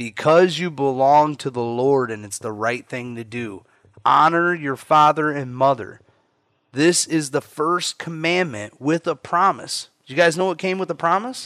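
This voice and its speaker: Speaking at a fairly slow pace, the man has an animated, bright, sharp tone and lively intonation. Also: fairly high pitch for a man. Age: 30s. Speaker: pastor leading family Bible study. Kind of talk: Bible study with scripture reading. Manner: casual, animated.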